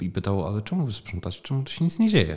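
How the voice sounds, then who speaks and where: A somewhat breathy quality runs through the voice. Its tone is mellow and dark. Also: man. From southern Poland, Opole region (Głuchołazy). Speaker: festival founder. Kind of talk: interview. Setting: small room beside a festival stage.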